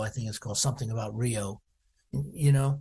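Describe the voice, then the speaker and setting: Somewhat breathy, a man speaks with an American accent. His tone is dark and mellow. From US, Washington DC. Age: 70s. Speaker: percussionist. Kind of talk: interview. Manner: halting, many fillers.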